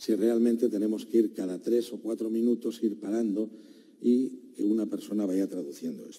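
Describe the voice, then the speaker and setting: Speaking with a Catalan accent, a man uses a medium pitch and a dark, mellow tone. His intonation is fairly even and his pace moderate. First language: Catalan (speaking Spanish). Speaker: defense lawyer. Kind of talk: courtroom argument. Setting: courtroom. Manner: formal.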